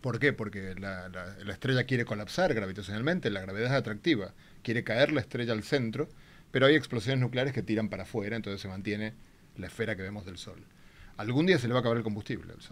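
A man talks at a very fast pace with ordinary pitch variation. His loudness swings widely. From Argentina. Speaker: theoretical physicist; guest. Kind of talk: popular science explanation. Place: studio. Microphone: studio mic.

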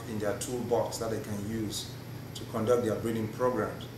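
A man speaks in a room with audible echo and noticeable background noise. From Cameroon. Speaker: plant breeder. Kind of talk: casual chat. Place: meeting room.

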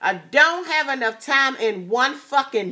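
A woman's raised, projected voice, high-pitched and animated, with lively intonation at a fairly slow pace against a quiet background. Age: 40s. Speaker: YouTube vlogger; vlogger. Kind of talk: casual chat. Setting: at home. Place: home room. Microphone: phone near.

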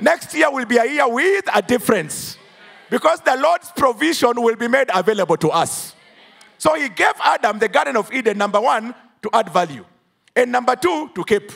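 Against a quiet background, a man talks in an animated tone at an extremely high pitch. His voice makes very wide pitch swings. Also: moderate pace. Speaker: preacher. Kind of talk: sermon. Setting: church. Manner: animated, call-and-response; emphatic, declamatory. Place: church. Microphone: handheld.

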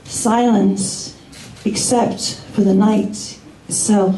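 Fairly even intonation comes through audible room echo and light background noise. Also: woman. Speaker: spoken word performer. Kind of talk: poetry reading. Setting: live open mic in a bar. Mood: soft, somber, reflective. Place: bar.

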